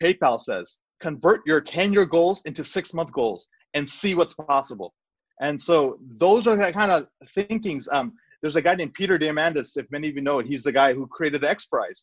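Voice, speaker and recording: Over a quiet background, a man with a normal speaking voice talks at a fairly quick pace and fairly high pitch, his lively intonation captured in a dry, close sound with no echo. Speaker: cardiologist and entrepreneur. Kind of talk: casual interview.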